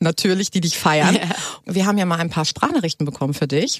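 An animated woman's voice with ordinary pitch variation and a dry, close sound with no echo. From Hamburg, northern Germany. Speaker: radio host. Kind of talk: casual chat.

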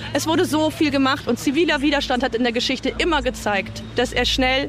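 A woman's high-pitched voice at a fairly quick pace, with ordinary pitch variation and noticeable background noise. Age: 40s. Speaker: climate protester. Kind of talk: street protest interview; protest speech.

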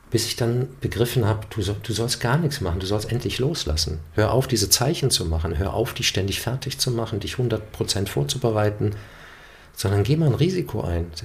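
Lively intonation marks this somewhat breathy voice, which keeps a moderate speed. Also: man, fairly low pitch for a man. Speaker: actor and voice narrator. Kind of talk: casual interview.

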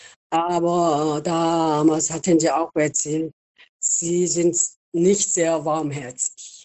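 A woman with a Korean accent, monotone flat intonation, and a very slow pace. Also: fairly low pitch for a woman. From South Korea. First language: Korean (speaking German). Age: 70s. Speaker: retired nurse. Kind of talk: interview. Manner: halting.

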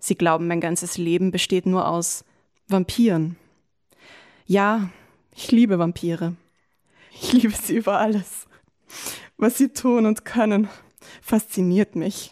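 Recorded dry and close with no echo, a woman speaks at a fairly slow pace with ordinary pitch variation and long, frequent pauses. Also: medium pitch for a woman. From Lower Austria. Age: 20s. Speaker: diary writer, former slam participant. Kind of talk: reading aloud own diary entries; casual interview chat.

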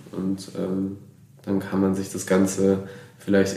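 A man's very deep, low voice with audible room echo. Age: 20s. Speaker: volunteer in a voluntary social year. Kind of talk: casual interview. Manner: hesitant with frequent fillers.

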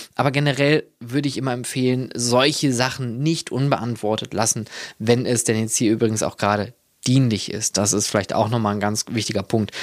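At a medium pitch and fairly quick pace, a man speaks with fairly even intonation on a very clean recording with a silent background. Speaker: podcast host and leisure park consultant. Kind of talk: solo monologue. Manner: halting, many fillers.

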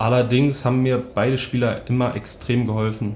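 Recorded with audible room echo and noticeable background noise, a man with a slight Berlin accent speaks at a fairly slow pace, medium pitch and a monotone, flat intonation. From northern Germany, Hamburg (St. Pauli). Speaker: ice hockey player. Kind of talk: casual interview.

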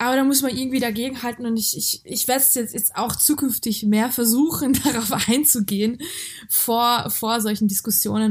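A woman with a fairly high pitch talks at a fairly quick pace, keeping her intonation fairly even. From Hungary and Germany (born in Georgia). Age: 20s. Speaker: activist, author and actress. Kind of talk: interview. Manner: halting, many fillers.

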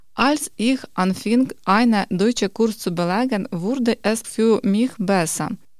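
The speech moves at a very slow pace with hardly any pauses. Its loudness stays very even, with ordinary pitch variation. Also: woman, fairly high pitch for a woman. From Ukraine, Kharkiv. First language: Ukrainian or Russian (speaking German). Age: 30s. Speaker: quality manager, course participant. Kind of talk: reading aloud.

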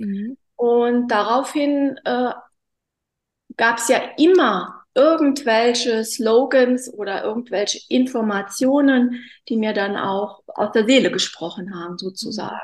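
Here a woman talks at a very slow pace. Her pitch is high, with ordinary variation. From Hunsrück, Rhineland-Palatinate, Germany. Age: 40s. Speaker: bereaved guest, former banker. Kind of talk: personal testimony in interview. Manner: halting, many fillers.

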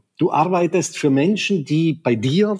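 A man speaks in an enthusiastic tone with lively intonation. The sound is dry and close, with no echo. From South Tyrol, Italy. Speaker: tourism executive. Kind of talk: interview.

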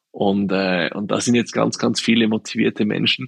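Vocal fry at a moderate pace, ordinary pitch variation, and a dry, close sound with no echo. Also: man. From Swiss Alps. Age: 40s. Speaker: shoe company co-founder. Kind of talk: interview.

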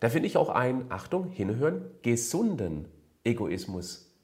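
A man talks at a medium pitch with very wide pitch swings. His voice is somewhat breathy, and the room echo is audible. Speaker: fitness and nutrition coach. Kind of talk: Q&A advice monologue. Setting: video recording for a channel.

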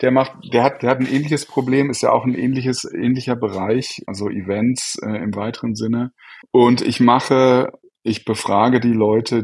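This man has an ordinary speaking voice at a medium pitch. He keeps a moderate pace with ordinary pitch variation. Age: 40s. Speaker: software entrepreneur. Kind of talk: interview.

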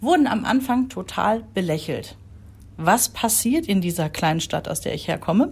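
Somewhat breathy, a woman of medium pitch talks at a moderate pace with very wide pitch swings. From Rhineland, Germany. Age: 40s. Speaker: podcast co-host, mother. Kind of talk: casual chat.

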